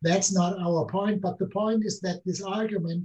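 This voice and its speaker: With a German accent, a man talks at a moderate pace in a high pitch, his dark, mellow tone carrying fairly even intonation. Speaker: political scientist, book co-author. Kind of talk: academic book discussion. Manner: hesitant, many fillers.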